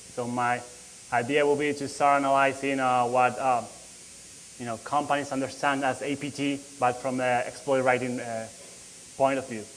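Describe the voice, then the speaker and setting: A man with a Spanish accent at a medium pitch, flat and monotone, at a moderate pace with long, frequent pauses and audible room echo. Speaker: security researcher. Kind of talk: conference talk. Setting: conference stage with audience. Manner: halting, many fillers.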